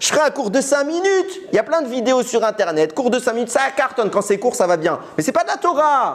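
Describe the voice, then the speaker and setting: Speaking at a fairly quick pace, a man sounds animated, his extremely high voice swinging very widely in pitch. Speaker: Torah teacher. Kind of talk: religious lecture. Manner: fast.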